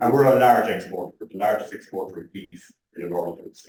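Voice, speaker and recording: Audible room echo surrounds a man's medium-pitched voice. He speaks with a strong Irish accent. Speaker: animal genetics researcher. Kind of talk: conference talk.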